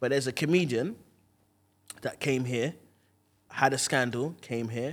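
Recorded very cleanly against a silent background, a man with a London accent talks at a moderate pace, his medium pitch moving with ordinary variation. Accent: London multicultural English. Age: 20s. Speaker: stand-up comedian. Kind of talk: casual chat.

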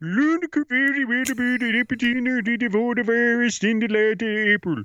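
Putting on a playful character voice, a man speaks at an extremely high pitch in a Swedish accent. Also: moderate pace, ordinary pitch variation, very even loudness. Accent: exaggerated mock-Swedish. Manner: comic, playful.

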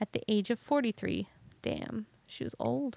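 In a dry, close sound with no echo, a woman with a fairly high pitch speaks in an animated tone. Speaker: podcast host. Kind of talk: casual storytelling, comedic banter. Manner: animated, joking.

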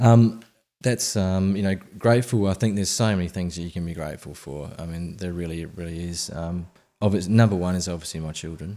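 A man with an Australian accent, very deep and low in pitch, dark and mellow in tone, at a fairly quick pace, on a very clean recording with a silent background. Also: ordinary pitch variation. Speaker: app founder, former financial planner. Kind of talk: podcast interview.

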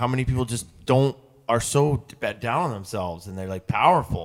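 This man has an unremarkable speaking voice at a medium pitch. His intonation is lively. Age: 40s. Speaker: podcast co-host. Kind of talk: casual chat.

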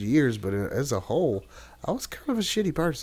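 In a Tennessee accent, a man talks at a fairly quick pace. The recording is very clean, with a silent background. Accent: Southern US (Tennessee). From US South. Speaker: podcast guest. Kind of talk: casual chat.

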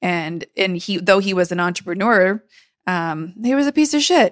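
A woman with a plain, everyday voice speaks at a fairly quick pace and medium pitch, with an American accent. The very clean recording has a silent background and a dry, close sound with no echo. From San Diego, California. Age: 40s. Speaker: beauty industry coach and podcast host. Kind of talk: casual interview.

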